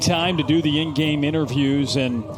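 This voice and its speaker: With music in the background, a man speaks fairly slowly with ordinary pitch variation. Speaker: sports play-by-play broadcaster. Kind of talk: live TV sports play-by-play.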